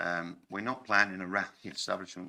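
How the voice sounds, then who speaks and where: A man's very deep, low voice with a bright, sharp tone. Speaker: cafe owner, applicant. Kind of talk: public speaking at planning committee. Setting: council committee meeting.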